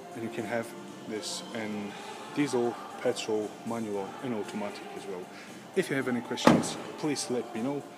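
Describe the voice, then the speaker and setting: Over clear background music, a man talks at a moderate pace with ordinary pitch variation and long, frequent pauses. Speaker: car salesperson. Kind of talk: casual sales walkaround commentary. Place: shop. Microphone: phone near.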